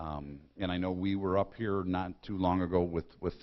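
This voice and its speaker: With an Upper Midwest accent, a man speaks in a very deep, low voice and fairly even intonation. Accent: Upper Midwest American. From Michigan, Lapeer County. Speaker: county sheriff. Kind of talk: public talk. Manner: loud; blunt.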